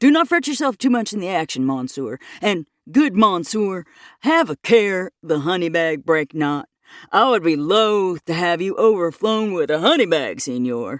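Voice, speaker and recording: A woman at medium pitch puts on a character voice, speaking at a moderate pace. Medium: read story. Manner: pompous, comic.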